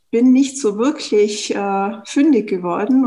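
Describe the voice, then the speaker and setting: A woman speaks with a Tyrolean accent and a fairly high, somewhat breathy voice. Her intonation is lively. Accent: Tyrolean Austrian. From Austria, Tyrol. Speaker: startup founder. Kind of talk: interview. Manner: hesitant, frequent fillers.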